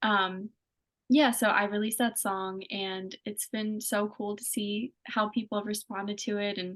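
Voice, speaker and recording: In a slight Pennsylvania accent, a woman speaks with monotone, flat intonation. The sound is dry and close with no echo, over a quiet background. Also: medium pitch for a woman, fairly slow pace. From Pennsylvania, US. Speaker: singer-songwriter. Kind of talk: interview. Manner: casual, many fillers.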